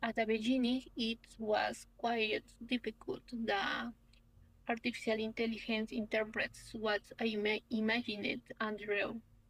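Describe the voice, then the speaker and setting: A woman speaks in a Peruvian accent with a somewhat breathy, fairly high voice. Her pace is fairly slow, her intonation flat and monotone, and her loudness stays very even. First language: Spanish. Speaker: young researcher, architect. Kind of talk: conference presentation. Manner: halting.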